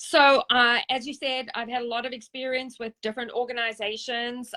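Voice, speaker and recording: A woman with a South African accent, a fairly high pitch, a bright, sharp tone and a moderate pace, in a dry, close sound with no echo. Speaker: service dog charity founder and trainer. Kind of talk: interview.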